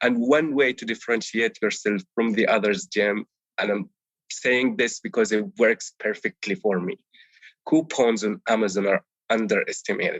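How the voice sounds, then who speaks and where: Speaking at a moderate pace with an Arabic accent, a man has a medium pitch and ordinary pitch variation. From Palestine, village near Bethlehem, West Bank. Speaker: Amazon seller, course student. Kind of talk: interview. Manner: animated; some repetitions and self-corrections.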